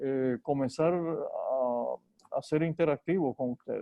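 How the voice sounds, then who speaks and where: Speaking at a very slow pace, a man uses fairly even intonation. His pitch is fairly high. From Dominican Republic, San Juan de la Maguana. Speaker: neurosurgeon. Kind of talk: talk to colleagues, then interview. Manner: halting, repeats words.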